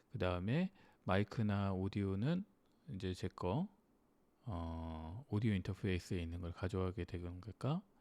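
This man has a very deep, low pitch and a dark, mellow tone, talking at a moderate pace with ordinary pitch variation. The recording is very clean, with a silent background. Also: dry, close sound with no echo. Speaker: music gear YouTuber. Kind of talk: screen-recorded tutorial. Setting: home studio with dynamic mic and audio interface. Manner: thinking aloud, many fillers.

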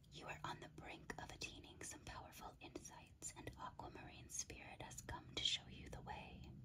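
Whispering at a moderate pace, a woman speaks with hardly any pauses. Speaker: ASMR creator and tarot/crystal reader. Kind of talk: ASMR crystal card guidebook reading. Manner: whispered, soft-spoken. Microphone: studio mic.

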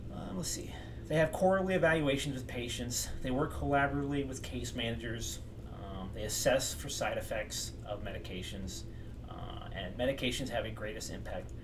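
A man's fairly quick delivery comes through with noticeable background noise. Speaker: mental health educator. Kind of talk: lecture. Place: home room. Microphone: webcam.

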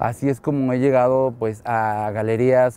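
A man speaks at a medium pitch in a dark, mellow tone. His intonation is fairly even, and the sound is dry with no echo. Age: 30s. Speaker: photographer. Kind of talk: interview monologue. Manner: hesitant, many fillers.

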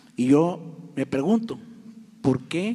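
A man speaks with lively intonation. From Tamaulipas, Mexico. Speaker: journalist; audience member. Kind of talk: press conference question. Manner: impassioned. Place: hall. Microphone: handheld.

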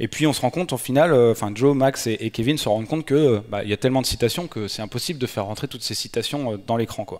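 Hardly pausing at all, a man talks at a very fast pace. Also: ordinary pitch variation, quiet background. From France, Nantes; France. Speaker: Android developer and conference speaker; conference speaker. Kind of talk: conference talk. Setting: stage with audience. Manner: hesitant, many filler sounds. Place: hall. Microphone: headset.

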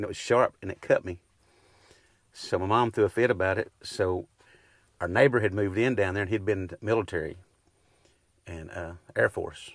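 Against a quiet background with a dry sound and no echo, a man with an East Texas accent talks at a moderate pace and fairly low pitch, with ordinary pitch variation, big swings in loudness, and long, frequent pauses. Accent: East Texas Southern US. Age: 50s. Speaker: rural landowner. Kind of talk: casual chat. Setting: outdoors. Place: farm machine. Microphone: lapel.

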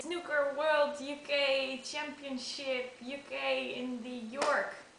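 A woman's raised, projected voice at a high pitch with a non-native accent, amid audible room echo and light background noise. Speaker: snooker fan, amateur video maker. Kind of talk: casual talk to camera. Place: home room. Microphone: webcam.

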